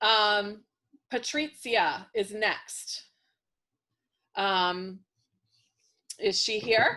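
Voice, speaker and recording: A bright, sharp voice moves at a very slow pace with long, frequent pauses. Its pitch variation is ordinary, and the background is quiet. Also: woman, fairly high pitch for a woman. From Worcester, Massachusetts. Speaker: romance author hosting reader Q&A. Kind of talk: live Q&A with readers. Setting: video call. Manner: casual, many filler ums.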